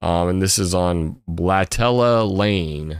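The voice belongs to a man with a very deep, low pitch. The recording is very clean, with a silent background. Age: 40s. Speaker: livestream host. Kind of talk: casual chat. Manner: casual, with many fillers.

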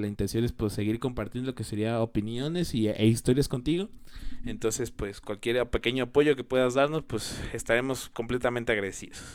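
Very clean recording with a silent background of a man at medium pitch, talking at a fairly quick pace with ordinary pitch variation. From Mexico. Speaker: podcast host. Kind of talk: solo podcast commentary. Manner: hesitant, many fillers.

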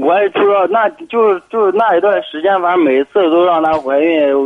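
A man's high-pitched voice at a moderate pace. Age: young. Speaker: caller. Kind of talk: call-in conversation.

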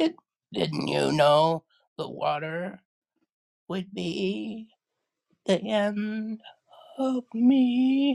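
A woman puts on a character voice at a medium pitch, with vocal fry and a slightly mellow tone. She speaks at a very slow pace with fairly even intonation and long, frequent pauses.

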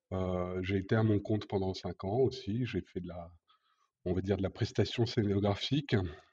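A man speaks at a moderate pace with a dark, mellow, somewhat breathy tone and fairly even intonation. The background is quiet. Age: 50s. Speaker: event industry manager. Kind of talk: interview. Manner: hesitant, many fillers.

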